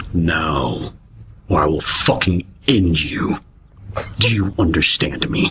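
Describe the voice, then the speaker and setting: In a put-on character voice pitched very deep and low, a man speaks at a fairly slow pace with long, frequent pauses. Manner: menacing, sultry.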